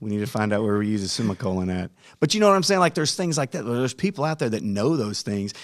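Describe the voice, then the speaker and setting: A man with a fairly low voice talks over a silent background in a very clean recording. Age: 40s. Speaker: high school football coach and podcast host. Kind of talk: casual podcast chat. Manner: animated.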